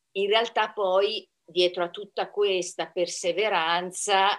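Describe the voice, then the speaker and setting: A woman's fairly low voice at a very slow pace. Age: 60s. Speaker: amateur pole dancer. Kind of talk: interview.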